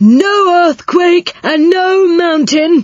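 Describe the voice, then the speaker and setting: The woman's pitch climbs extremely high. She is performing a put-on character voice. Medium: read story. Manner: jolly, loud.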